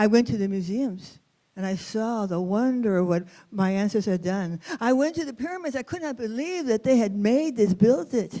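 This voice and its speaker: A woman's voice, fairly high in pitch, carries a dark, mellow tone. She speaks at a moderate pace with lively intonation. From US West, East Los Angeles. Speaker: storyteller. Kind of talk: storytelling performance. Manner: expressive.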